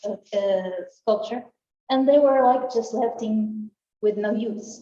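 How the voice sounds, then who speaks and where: A woman speaks at a fairly high pitch with fairly even intonation. Room echo is audible. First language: Portuguese. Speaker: art researcher. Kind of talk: conference talk. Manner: halting.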